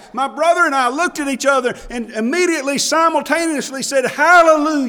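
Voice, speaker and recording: A man's raised, projected voice with an Alabama accent, over noticeable background noise. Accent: Alabama Southern US. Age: 50s. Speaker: pastor. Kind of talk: heartfelt Baptist sermon, personal funeral testimony building to a triumphant hallelujah. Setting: church pulpit. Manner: impassioned, rising preacher cadence with emphatic exclamations; halting with repeated word starts and filler uh.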